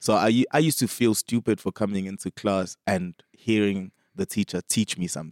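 With a normal speaking voice, a man talks at a moderate pace and fairly low pitch, with ordinary pitch variation and a dry, close sound with no echo. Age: 30s. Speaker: musician and producer. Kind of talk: casual chat.

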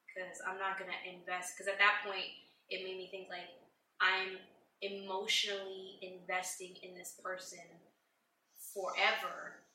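A woman at a medium pitch speaks at a moderate pace in a monotone, flat intonation, with long, frequent pauses. Her loudness swings widely, and room echo is audible. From Puerto Rican family background. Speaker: host's wife. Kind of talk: casual chat.

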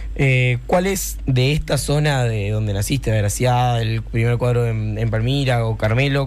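A man talks fairly slowly amid noticeable background noise and audible room echo. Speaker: radio host. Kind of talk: casual radio show and interviews. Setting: radio studio. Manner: animated.

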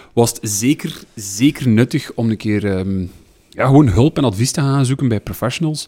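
On a very clean recording with a silent background and a dry, close sound with no echo, a man with a Flemish accent speaks at a moderate pace and medium pitch in a dark, mellow tone, with ordinary pitch variation. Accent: Flemish Dutch. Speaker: podcast co-host. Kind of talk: casual chat.

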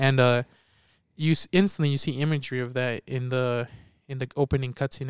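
On a very clean recording with a silent background and a dry, close sound with no echo, a man talks very fast at a fairly high pitch. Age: 20s. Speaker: podcast co-host, movie reviewer. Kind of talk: casual chat.

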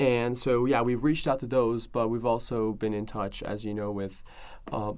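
A man with a Persian accent talks in a medium pitch with fairly even intonation. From Iran, Tehran. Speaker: activist organizer. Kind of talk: interview. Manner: halting.

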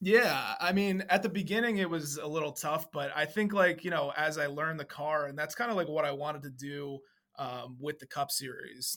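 Spoken at a moderate pace with an American accent, an ordinary speaking voice with ordinary pitch variation. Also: man. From Central New Jersey. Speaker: sim racing driver. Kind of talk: interview.

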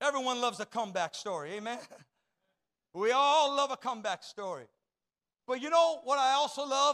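A man with an extremely high pitch and a bright, sharp tone speaks in a raised, projected voice with lively intonation. His pace is fairly quick despite long, frequent pauses, and the sound is dry and close with no echo. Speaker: pastor. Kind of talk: Pentecostal-style sermon, exhorting the congregation with call-and-response. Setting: church service, also streamed online. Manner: impassioned and rhythmic, piling up repeated 'you're never gonna' phrases; fervent crowd-rousing, prompting amens and applause.

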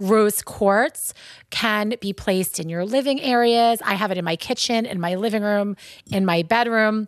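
An animated woman with a Long Island accent at a fairly high pitch and moderate pace, ordinary pitch variation, and a dry, close sound with no echo on a very clean recording with a silent background. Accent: Long Island New York. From Long Island, New York. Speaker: shop co-owner and podcast host. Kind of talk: casual chat. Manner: animated, chatty.

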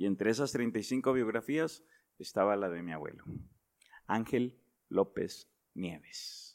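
A man with a medium-pitched voice speaks at a very slow pace, leaving long, frequent pauses. His intonation is lively, and the recording is very clean with a silent background. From northern Mexico (Nuevo León, raised in Reynosa, Tamaulipas). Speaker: pastor. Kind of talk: interview.

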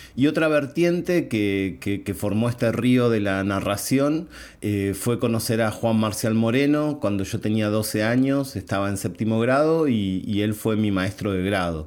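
A man's unremarkable speaking voice at medium pitch, fairly slow, with lively intonation and hardly any pauses. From Argentina. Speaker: storyteller teaching in prisons. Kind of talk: interview.

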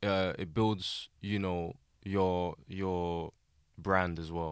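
In a South London accent, a man speaks at a fairly low pitch. The recording is very clean, with a silent background. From Southeast London, Lewisham. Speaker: music producer and engineer. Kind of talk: casual chat.

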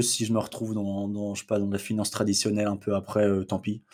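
In a dark, mellow tone with a fairly low pitch, a man speaks at a fairly quick pace on a very clean recording with a silent background. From Brittany, France. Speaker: crypto investor, student. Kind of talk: casual interview.

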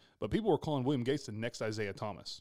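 Speaking very fast with a Texas accent, a man keeps to a medium pitch and fairly even intonation on a very clean recording with a silent background. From Texas, Glen Rose. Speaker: podcast host. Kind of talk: casual chat.

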